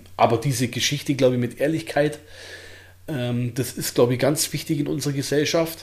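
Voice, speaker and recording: A man speaks with a fairly high pitch and a somewhat breathy voice. His pace is moderate and his intonation fairly even. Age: 30s. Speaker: bodybuilder and shop owner. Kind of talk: casual interview.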